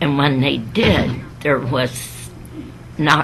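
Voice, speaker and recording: With noticeable background noise, a woman speaks at a very slow pace in a very deep, low pitch with ordinary pitch variation. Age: 80s+. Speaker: sister of a missing WWII sailor. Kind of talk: interview answer, personal recollection.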